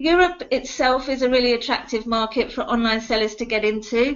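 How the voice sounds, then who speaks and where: A woman's fairly high pitch and ordinary pitch variation come through in an ordinary speaking voice. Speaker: VAT compliance specialist. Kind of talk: webinar presentation. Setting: online webinar call.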